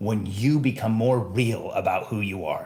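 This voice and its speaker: With audible room echo around him, a man of medium pitch speaks at a fairly slow pace with ordinary pitch variation. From Mexico. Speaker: podcast host, entrepreneur coach. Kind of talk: solo podcast monologue. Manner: emphatic.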